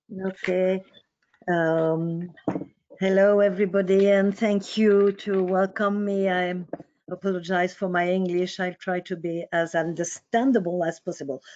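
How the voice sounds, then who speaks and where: A woman speaks at a medium pitch with a French accent. Her pace is fairly slow and her intonation flat and monotone. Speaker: psychoanalyst. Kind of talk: lecture. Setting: online webinar.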